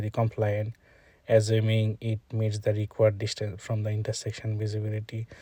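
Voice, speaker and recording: A man with a Bangladeshi accent, somewhat breathy, in a dark, mellow tone and flat, monotone intonation, on a very clean recording with a silent background. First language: Bengali. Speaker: traffic engineer demonstrating software. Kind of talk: screen-recorded tutorial. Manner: halting, many filler sounds.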